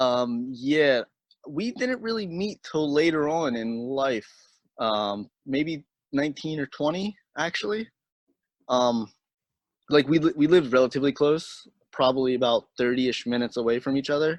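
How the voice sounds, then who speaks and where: In a strong Pennsylvania accent, the speaker keeps a moderate pace with long, frequent pauses and ordinary pitch variation, the sound dry and close with no echo against a quiet background. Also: man, fairly high pitch for a man. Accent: heavy Pennsylvania. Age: 30s. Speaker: BMX rider. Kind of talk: casual chat.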